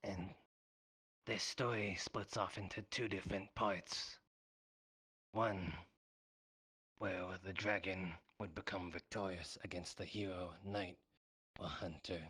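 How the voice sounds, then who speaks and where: A man puts on a raspy character voice with a very deep, low pitch, speaking at a fairly slow pace with long, frequent pauses. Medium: game stream. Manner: refers to himself in third person.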